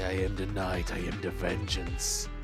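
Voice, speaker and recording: A man's put-on character voice at a fairly slow pace, with loud music in the background. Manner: melodramatic, edgy.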